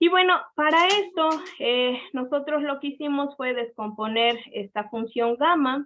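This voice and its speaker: With a high, bright, sharp voice and lively intonation, a woman talks at a fairly slow pace with hardly any pauses. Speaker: seminar speaker presenting research. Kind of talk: academic seminar talk and Q&A. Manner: halting, many fillers.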